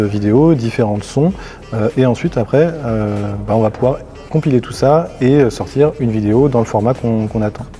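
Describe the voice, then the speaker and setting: A man of medium pitch at a moderate pace, with noticeable background noise. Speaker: marketing automation expert. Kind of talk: software tutorial. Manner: monotone; hesitant, many fillers.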